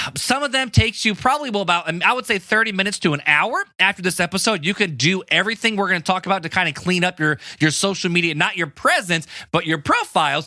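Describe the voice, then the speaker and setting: A raised, projected voice in an American accent, very fast, animated in tone, with lively intonation. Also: man, high pitch for a man. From US Midwest (Hammond, Indiana). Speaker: podcast host. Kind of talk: casual podcast talk.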